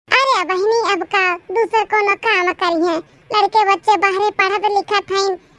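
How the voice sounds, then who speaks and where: A woman's cartoonish character voice, extremely high-pitched and monotone, flat in intonation, at a fairly slow pace. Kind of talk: comic village cartoon acting. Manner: meek, simple.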